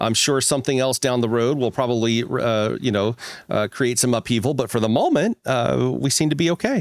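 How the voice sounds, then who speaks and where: A plain, everyday voice from a man, medium in pitch with ordinary pitch variation, fairly quick, very even in loudness, dry and close with no echo. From US Midwest (Missouri Ozarks). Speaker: podcast co-host. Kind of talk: casual chat.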